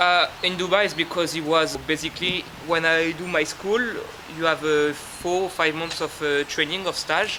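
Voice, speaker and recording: A man with a French accent speaks at a moderate pace in a high, flat monotone. Background noise is noticeable. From France, Normandy. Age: 20s. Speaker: waiter. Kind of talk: guided walking tour; interview.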